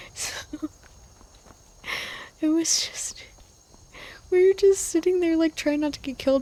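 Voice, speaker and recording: This soft-spoken woman talks at a fairly slow pace. Her tone is dark, mellow and gentle. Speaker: sleep-aid video creator who narrates over game footage. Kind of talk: sleep aid rambling while playing a video game; casual talk to camera, personal anecdotes. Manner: gentle, soft-spoken.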